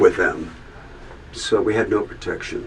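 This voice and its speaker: A man talks at a moderate pace while noticeable background noise runs beneath him. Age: 70s. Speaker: musician telling his life story. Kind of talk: testimony. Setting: recording booth. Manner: halting.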